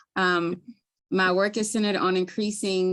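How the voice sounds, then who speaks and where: Against a quiet background, a woman with a Baltimore accent speaks at a moderate pace in a fairly low pitch with fairly even intonation. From Baltimore, Maryland. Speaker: community health worker. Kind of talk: webinar presentation. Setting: live webinar.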